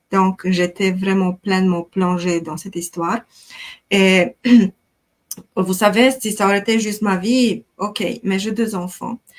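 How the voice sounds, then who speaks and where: Speaking very slowly with a Romanian accent, a woman uses a medium pitch and fairly even intonation. The sound is dry and close, without any echo. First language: Romanian (speaking French). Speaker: life coach. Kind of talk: interview testimony.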